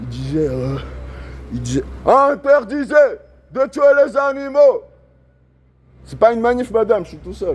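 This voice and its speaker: A man at a fairly slow pace, with long, frequent pauses and big swings in loudness. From Switzerland, Lausanne. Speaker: animal rights activist. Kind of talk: street protest monologue. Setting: outdoors on street. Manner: loud, shouting slogans; casual slangy chatter.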